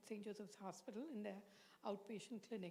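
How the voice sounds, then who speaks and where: A woman's fairly high voice with an Indian accent. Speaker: psychiatrist. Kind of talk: lecture.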